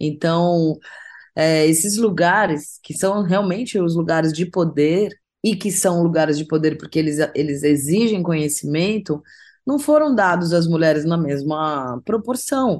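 With an ordinary speaking voice, a woman talks at a fairly slow pace and a fairly low pitch against a quiet background. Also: ordinary pitch variation. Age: 40s. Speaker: singer-songwriter. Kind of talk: interview.

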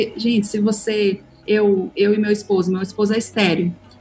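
Noticeable background noise sits behind a woman whose medium-pitched voice keeps fairly even intonation. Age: 30s. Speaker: author and adoptive mother. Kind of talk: casual chat.

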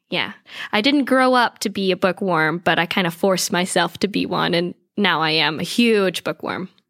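A woman with an American accent speaks at a moderate pace and medium pitch, with ordinary pitch variation and a plain, everyday voice, in a very clean, silent recording whose sound is dry and close with no echo. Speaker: theater performer and coach. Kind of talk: casual interview chat.

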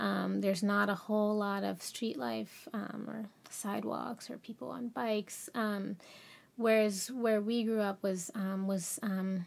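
At a fairly slow pace, a woman with an American accent speaks at a medium pitch with ordinary pitch variation. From Cincinnati, Ohio (US Midwest). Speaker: visual artist and professor. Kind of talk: interview conversation. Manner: halting, many fillers.

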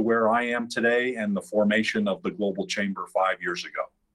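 In an American accent, a man talks with a normal speaking voice at medium pitch and with ordinary pitch variation. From New York (Westchester, Long Island, Queens). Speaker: business founder and chamber of commerce executive. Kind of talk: podcast interview.

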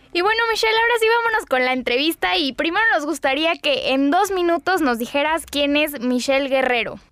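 Against noticeable background noise, a woman talks at a fairly quick pace with hardly any pauses, in a high voice of very wide pitch swings and very even loudness. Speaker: radio co-host. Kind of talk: radio hosting and news reading.

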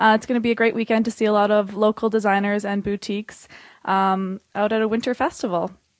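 A woman's fairly high voice at a very fast pace, monotone and flat, in a dry, close sound with no echo. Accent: Canadian. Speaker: event organizer. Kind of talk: interview. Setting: office.

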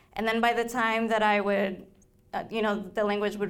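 Audible room echo surrounds a woman speaking at a medium pitch with a Spanish accent. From Colombia, Bogota. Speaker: novelist. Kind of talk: author talk. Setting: library event with audience.

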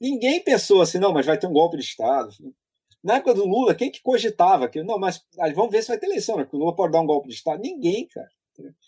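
With a dark, mellow tone and a high pitch, a man talks at a very fast pace with very wide pitch swings, in a dry, close sound with no echo. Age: 40s. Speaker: political columnist. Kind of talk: casual interview chat.

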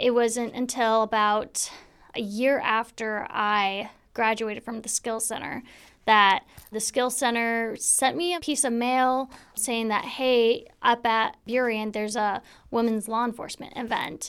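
An ordinary speaking voice from a woman, fairly high in pitch, fairly even in intonation and fairly slow, on a very clean recording with a silent background. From US Pacific Northwest, Spanaway, Washington. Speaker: sheriff's deputy, school resource officer. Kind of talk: interview. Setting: studio.

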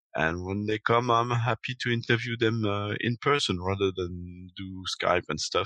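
Someone with a French accent speaks in a bright, sharp tone with ordinary pitch variation, recorded dry and close with no echo. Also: man. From Belgium. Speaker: podcaster. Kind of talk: casual chat. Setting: video call.

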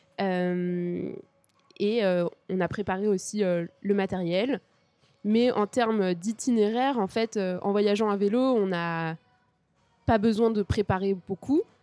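A woman speaks at a very slow pace with a dark, mellow tone and fairly even intonation. The very clean recording has a silent background and a dry, close sound with no echo. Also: medium pitch for a woman. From Paris region, France. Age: 20s. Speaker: cycle traveller. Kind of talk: interview.

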